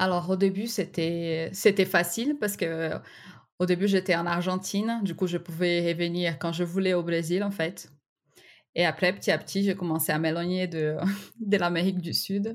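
A woman with a Brazilian accent speaks with a fairly low pitch and fairly even intonation. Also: moderate pace. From Brazil, Recife. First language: Portuguese (speaking French). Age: 30s. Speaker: graphic designer. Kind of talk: interview testimony. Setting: remote interview.

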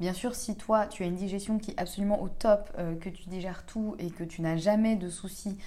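Her voice is dark, mellow and somewhat breathy, set at a medium pitch for a woman. She speaks at a moderate pace, with audible room echo. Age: 30s. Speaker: podcast host on gut health. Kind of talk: casual solo monologue. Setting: at home. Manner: hesitant, many fillers.

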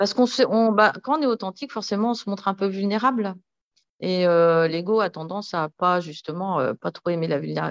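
With a quiet background and a dry, close sound with no echo, a woman at a medium pitch speaks fairly quickly with ordinary pitch variation. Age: 50s. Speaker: entrepreneur. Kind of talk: casual chat. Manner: halting.

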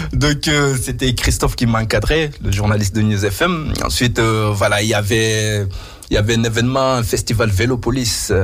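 A man speaks at a medium pitch and a moderate pace, with ordinary pitch variation and very even loudness. Room echo is audible and background noise is noticeable. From Mauritania. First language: not French (speaking French). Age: 30s. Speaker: radio host. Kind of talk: radio interview.

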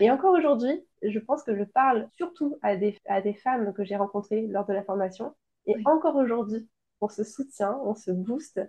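With lively intonation and a fairly high pitch, a woman talks at a moderate pace in an unremarkable speaking voice. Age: 30s. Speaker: entrepreneur, founder of a baby shower decoration brand. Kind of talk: interview testimony.

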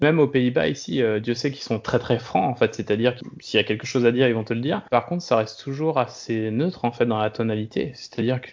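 At a very fast pace and with hardly any pauses, a man speaks at a medium pitch with ordinary pitch variation. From France, Brittany (Brest). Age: 30s. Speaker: serial expat, food industry worker. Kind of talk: interview, casual chat. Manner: halting, many fillers and repetitions.

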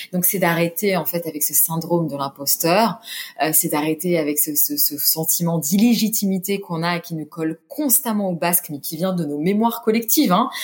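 With music in the background, a woman speaks at a moderate pace in a fairly low pitch. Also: ordinary pitch variation. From France, Orléans. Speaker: humanitarian communications director and yoga teacher. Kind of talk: interview. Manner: halting, many fillers and repetitions.

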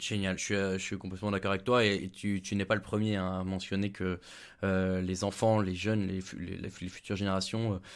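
Monotone and flat, a man speaks at a moderate pace and a fairly low pitch. The recording is very clean with a silent background. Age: 30s. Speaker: podcast host. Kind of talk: podcast interview.

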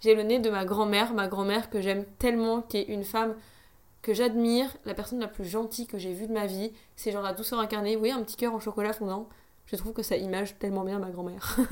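Her pitch is fairly high. The woman speaks at a fairly quick pace. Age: 20s. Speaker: podcaster. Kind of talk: casual monologue. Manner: animated.

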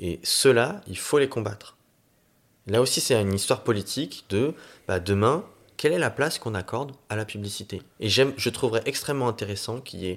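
A man with a normal speaking voice talks at a moderate pace and medium pitch, with ordinary pitch variation. The recording is very clean, with a silent background. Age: 30s. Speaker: city councillor and climate training director. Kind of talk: casual interview.

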